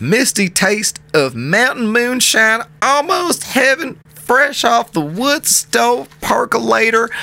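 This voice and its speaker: In a raised, projected voice, a man speaks at an extremely high pitch with very wide pitch swings. His pace is very slow, and noticeable background noise runs underneath. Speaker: podcast co-host. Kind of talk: casual chat. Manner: animated.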